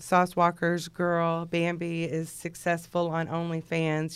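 A woman with a Texan accent speaks at a fairly slow pace with hardly any pauses, in a fairly low pitch and monotone, flat intonation, on a very clean recording with a silent background. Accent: Texan American. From Texas, Houston area. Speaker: rapper's personal manager. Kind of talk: casual interview. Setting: studio.

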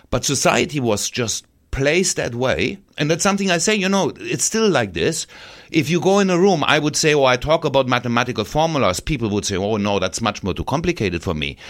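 Vocal fry marks this man's fairly high voice, which swings very widely in pitch at a fairly quick pace. The recording is very clean, the background silent. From Saarland, Germany. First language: French. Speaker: university professor. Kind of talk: casual interview chat. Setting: radio studio. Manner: halting, searching for words.

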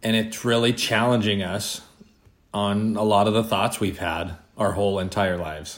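A man's fairly low voice with fairly even intonation at a moderate pace, and audible room echo. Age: 40s. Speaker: podcast co-host. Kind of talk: casual chat.

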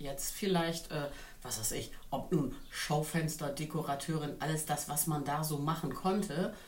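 Audible room echo surrounds a woman's very deep, low voice. She speaks at a fairly slow pace with fairly even intonation. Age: 50s. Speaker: influencer. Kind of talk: casual chat.

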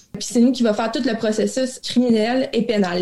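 The tone is dark and mellow, with ordinary pitch variation. Delivery is at a fairly slow pace. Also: woman. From Quebec, Abitibi. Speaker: crown prosecutor. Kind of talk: interview.

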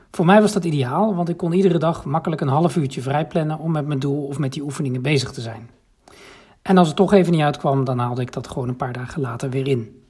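A man with a fairly high pitch at a very fast pace with ordinary pitch variation. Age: 40s. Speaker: program participant giving testimonial. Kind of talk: recorded voice memo testimonial. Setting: voice memo sent via app.

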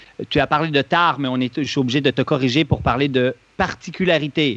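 At a fairly quick pace, a man with an unremarkable speaking voice and fairly high pitch talks in a dry, close sound with no echo. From Switzerland. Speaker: running injury expert, clinic founder. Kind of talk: podcast interview.

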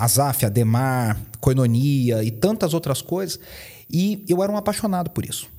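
Speaking with a Minas Gerais accent, a man uses lively intonation at a fairly slow pace. His tone is dark and mellow. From Minas Gerais, Brazil (Poços de Caldas). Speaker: pastor and worship teacher. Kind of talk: podcast interview.

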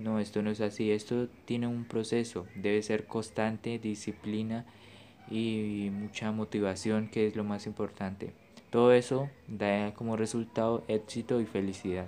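In a fairly low, dark, mellow tone, a man talks fairly slowly with monotone, flat intonation. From Colombia. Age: young. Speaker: podcaster on affiliate marketing. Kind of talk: personal testimony monologue.

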